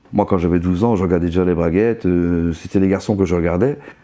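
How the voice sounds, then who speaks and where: The man's voice has a dark, mellow tone. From Belgium. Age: 60s. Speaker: interviewee. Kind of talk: testimony. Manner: halting.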